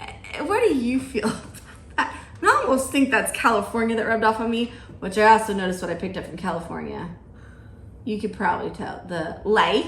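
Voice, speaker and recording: A fairly quick delivery in an American accent, with big swings in loudness, ordinary pitch variation, long, frequent pauses, audible room echo and noticeable background noise. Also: woman, fairly high pitch for a woman. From US South, Georgia. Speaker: podcast host. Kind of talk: casual chat.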